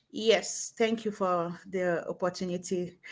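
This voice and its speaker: The speaker has a Cameroonian accent and fairly even intonation. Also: woman. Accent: Cameroonian francophone English. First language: French. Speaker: network marketing entrepreneur. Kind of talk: live stream interview.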